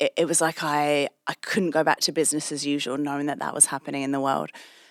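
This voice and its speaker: A British accent marks this woman's very deep, low voice, delivered at a very fast pace. Her intonation is monotone and flat, and the sound is dry and close with no echo. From England. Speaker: anti-trafficking charity executive. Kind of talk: interview.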